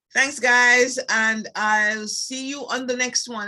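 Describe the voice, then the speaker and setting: Here a woman speaks in a Jamaican accent. Her pace is fairly slow. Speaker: beauty products sales rep. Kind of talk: tutorial. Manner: hesitant, many fillers.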